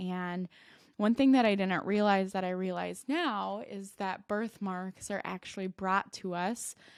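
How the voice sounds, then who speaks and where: A woman with a slight Minnesota accent, a fairly slow pace and fairly even intonation, in a very clean recording with a silent background. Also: medium pitch for a woman. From Minnesota, US. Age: 20s. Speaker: podcast host and life coach. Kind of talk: personal storytelling podcast.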